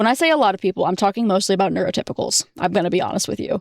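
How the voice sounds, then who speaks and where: Talking at a very fast pace, a woman sounds animated, with lively intonation in a dry, close sound with no echo. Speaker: vtuber streamer. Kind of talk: casual chat. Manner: loud.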